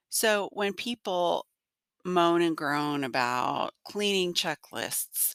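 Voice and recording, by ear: A woman speaks slowly at a low pitch, gruff and nasal with vocal fry. Her tone is clear and smooth. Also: dry, close sound with no echo.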